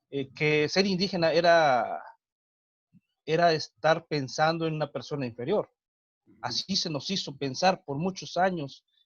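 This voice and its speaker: A man with a Mexican accent speaks at a fairly high pitch and a fairly slow pace, using ordinary pitch variation. He leaves long, frequent pauses. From Mexico, Huasteca region of Hidalgo. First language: Nahuatl (speaking Spanish). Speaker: teacher and cultural promoter. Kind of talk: interview. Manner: hesitant, many fillers.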